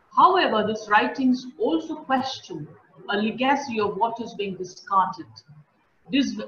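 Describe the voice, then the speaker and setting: A woman talks at a moderate pace. Light background noise and audible room echo can be heard. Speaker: host introducing a speaker. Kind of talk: formal introduction. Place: home room. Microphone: earbuds.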